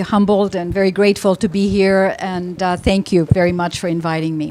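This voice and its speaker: Talking at a moderate pace with ordinary pitch variation, the speaker is heard over noticeable background noise. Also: woman. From Philippines, raised in US from childhood. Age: 60s. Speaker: company founder and CEO. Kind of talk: personal story at panel talk.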